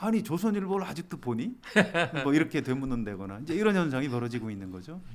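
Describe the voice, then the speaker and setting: A man talks at a very fast pace and fairly high pitch, with very wide pitch swings and big swings in loudness. Noticeable background noise is present. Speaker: senior newspaper journalist. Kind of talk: interview answer.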